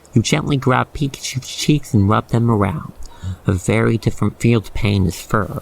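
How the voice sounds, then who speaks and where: The speech moves at a moderate pace. Background noise is clearly noticeable. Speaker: ASMR roleplay narrator. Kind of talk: ASMR roleplay narration. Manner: calm, soothing.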